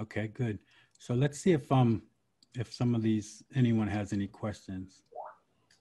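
Against a quiet background, a man with a medium pitch and a dark, mellow tone speaks at a fairly slow pace, somewhat breathy. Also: ordinary pitch variation. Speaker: podcast host. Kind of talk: interview. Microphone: video call.

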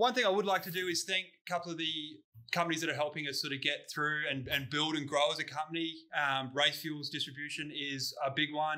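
Speaking at a fairly quick pace, a man has a bright, sharp tone. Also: quiet background. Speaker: podcast host. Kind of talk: casual podcast chat. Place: garage.

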